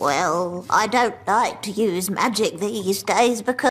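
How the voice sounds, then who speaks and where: In a cartoonish character voice, a female-sounding speaker talks at a medium pitch and a fairly slow pace. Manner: genteel, polite.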